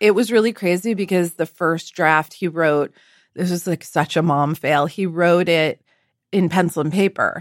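A woman talks at a moderate pace with a fairly low pitch and ordinary pitch variation. It is a plain, everyday voice, recorded very cleanly with a silent background and a dry, close sound with no echo. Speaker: cookbook author and chef. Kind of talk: casual chat.

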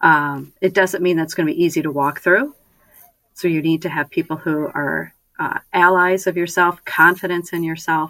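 A woman with a bright, sharp tone, fairly low pitch, fairly even intonation and a moderate pace. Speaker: sports team executive. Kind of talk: radio interview. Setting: studio.

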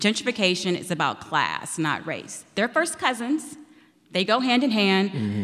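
A woman with a plain, everyday voice, an American accent, lively intonation and a moderate pace. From Chicago. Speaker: reporter. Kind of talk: live panel discussion. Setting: stage with audience.

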